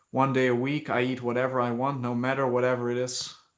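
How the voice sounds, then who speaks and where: At a moderate pace, a man speaks in a monotone, flat intonation. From Netherlands. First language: Dutch. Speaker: fitness youtuber. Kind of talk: livestream Q&A while working out. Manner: casual, hesitant with fillers.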